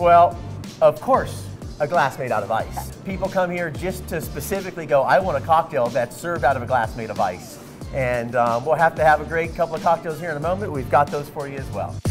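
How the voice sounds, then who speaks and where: Over clear music in the background, a man talks at a fairly quick pace. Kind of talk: interview answer. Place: bar. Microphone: lapel.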